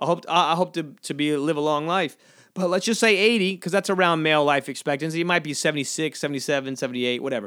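Speaking at a very fast pace, a man has a fairly high pitch and a bright, sharp tone with ordinary pitch variation. The recording is very clean, with a silent background. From US South, coastal Georgia. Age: 30s. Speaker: stand-up comedian, podcast host. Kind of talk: casual solo podcast monologue.

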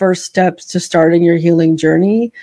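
At a moderate pace, a woman speaks at medium pitch in an ordinary speaking voice. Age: 50s. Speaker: author, memoirist and producer. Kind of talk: interview, personal testimony.

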